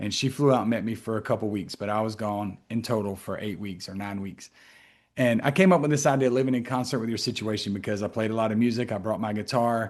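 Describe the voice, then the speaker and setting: The voice has a South Carolina accent and ordinary pitch variation. It moves at a very fast pace against a quiet background. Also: man, medium pitch for a man. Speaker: mental health professional and author. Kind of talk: interview conversation.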